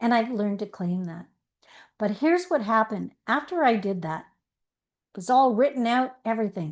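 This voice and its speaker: A woman with a warm tone and fairly high pitch speaks at a moderate pace with lively intonation and long, frequent pauses. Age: 60s. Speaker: life coach. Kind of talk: online masterclass talk. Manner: warm, conversational storytelling.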